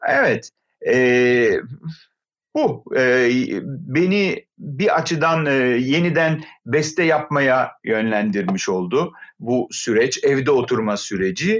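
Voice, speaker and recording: Lively intonation marks this man's speech at a very slow pace. His pitch is fairly high. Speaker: opera singer and conservatory lecturer. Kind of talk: casual interview. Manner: hesitant fillers.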